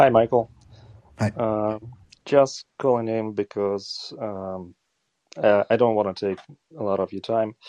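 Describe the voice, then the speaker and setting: The voice has a dark, mellow tone and fairly even intonation, moving at a fairly slow pace with long, frequent pauses in a dry, close recording with no echo. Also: man, fairly low pitch for a man. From Eastern Ukraine. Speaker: caller. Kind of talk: casual call-in chat.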